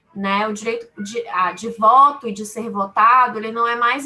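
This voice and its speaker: With ordinary pitch variation, a woman's fairly high-pitched voice comes through. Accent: Bahian. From Brazil, Salvador (Bahia). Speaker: lawyer. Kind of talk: webinar talk. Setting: webinar.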